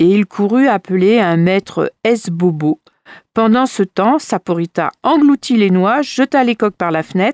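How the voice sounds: A natural reading voice with lively intonation comes through, the background quiet.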